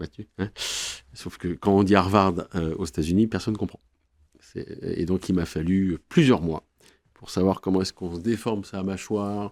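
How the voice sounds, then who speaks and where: A man with a very deep, low pitch, fairly even intonation, big swings in loudness and long, frequent pauses, on a very clean recording with a silent background. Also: moderate pace, dry, close sound with no echo. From France. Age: 50s. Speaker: corporate lawyer. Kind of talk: podcast interview.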